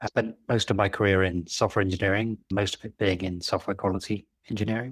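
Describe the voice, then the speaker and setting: On a very clean recording with a silent background, a man with a British accent speaks at a very fast pace. His fairly low voice is monotone, with flat intonation. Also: dry, close sound with no echo. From Britain. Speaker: engineering leadership coach. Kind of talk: interview podcast.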